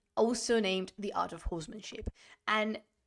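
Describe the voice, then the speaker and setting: A woman with a Spanish accent, fairly high in pitch, animated in tone, with lively intonation at a moderate pace. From Spain. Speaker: history streamer. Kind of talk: live-streamed lecture. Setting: live stream.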